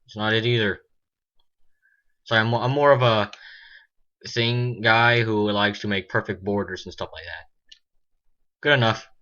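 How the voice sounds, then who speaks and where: A man speaks at medium pitch and a moderate pace, his intonation fairly even. Long, frequent pauses break up his speech, and his loudness swings widely. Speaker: mapping video creator. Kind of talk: tutorial. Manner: halting, many fillers.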